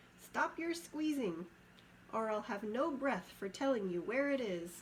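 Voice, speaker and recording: Over clear background noise, a woman uses a squeaky, high-pitched put-on character voice at a moderate pace. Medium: read story. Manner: sly, wheedling.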